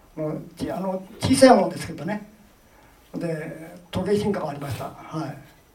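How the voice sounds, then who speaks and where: A man speaks with a high pitch and ordinary pitch variation, his loudness swinging widely. Room echo is audible, and there is noticeable background noise. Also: moderate pace. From Gifu, Ena. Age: 90s. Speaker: war veteran. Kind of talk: testimony. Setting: public event with audience.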